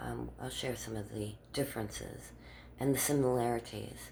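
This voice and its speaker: Audible room echo surrounds a woman who keeps a moderate pace. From Germany. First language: German. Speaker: vlogger. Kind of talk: casual monologue. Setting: outdoors in the dark.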